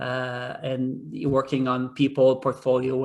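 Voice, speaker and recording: A man speaks at medium pitch with a French accent. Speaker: hotel executive. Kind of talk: job interview. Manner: hesitant, many fillers.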